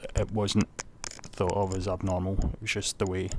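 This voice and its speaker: With a Scottish accent, a man talks at a moderate pace in a very deep, low voice. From Scotland. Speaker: vlogger. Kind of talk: personal testimony. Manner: halting.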